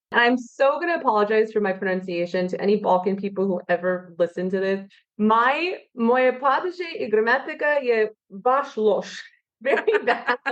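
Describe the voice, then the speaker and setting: In an ordinary speaking voice, a woman with an American accent talks at a moderate pace and a fairly high pitch. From California. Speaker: wine expert. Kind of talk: podcast interview.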